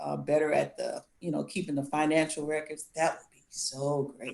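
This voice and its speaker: A woman's very deep, low voice with an American accent, at a moderate pace and with fairly even intonation. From US South, Gullah Geechee area. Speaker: contestant on a dating show, construction business owner. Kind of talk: dating show Q&A.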